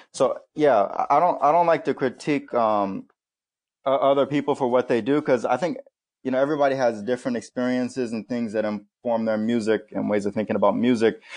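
Against a quiet background, a man with an American accent has an ordinary speaking voice, medium pitch, ordinary pitch variation and a fairly quick pace. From South Florida. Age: 20s. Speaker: jazz trumpet player. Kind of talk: casual interview chat. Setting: video call.

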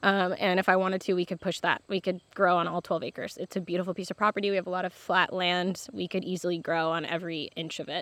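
A woman with an American accent talks at a very fast pace in a medium pitch. The sound is dry and close with no echo, against a quiet background. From Michigan, US Midwest. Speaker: farmer. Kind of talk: interview. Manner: halting, many fillers.

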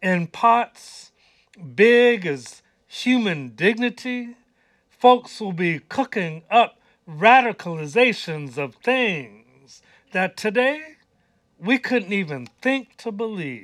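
On a very clean recording with a silent background and a dry, close sound with no echo, a man speaks very slowly in a high voice that swings very widely in pitch. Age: 60s. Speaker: poet and musician. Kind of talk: spoken word poetry with rhythmic, incantatory delivery. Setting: radio studio.

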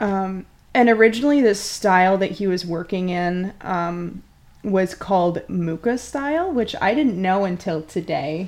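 Speaking in a normal speaking voice, a woman talks at a fairly slow pace with a medium pitch and ordinary pitch variation against a quiet background. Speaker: podcast co-host. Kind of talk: casual chat, comedic banter.

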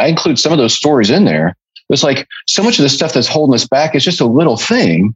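Male speech with vocal fry, its pitch swinging very widely. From US Midwest (Illinois and Indiana). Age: 50s. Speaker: author. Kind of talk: casual interview.

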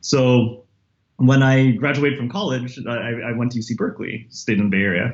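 With an American accent, a man talks at a moderate pace and medium pitch. His voice is somewhat breathy, with ordinary pitch variation. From San Jose, California (US). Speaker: history professor. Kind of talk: interview. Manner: halting, many fillers and repetitions.

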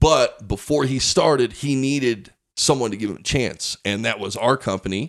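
A man with an American accent speaks at a moderate pace and medium pitch, with ordinary pitch variation. It is a plain, everyday voice on a very clean recording with a silent background. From Pueblo, Colorado. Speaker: stand-up comedian. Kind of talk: casual chat.

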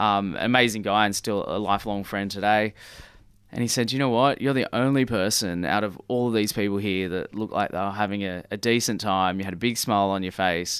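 On a very clean recording with a silent background, a man with a fairly low pitch talks at a fairly quick pace and with fairly even intonation. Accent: Australian. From Sydney, Australia (northern beaches). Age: 30s. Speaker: fashion designer and business owner. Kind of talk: casual interview chat. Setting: radio studio.

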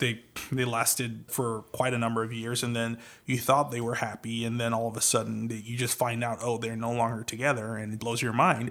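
An American-accented man talks at a fairly quick pace and medium pitch. His intonation is flat and monotone. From Trinidad and Tobago. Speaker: podcast host, voice-over artist. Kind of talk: casual chat.

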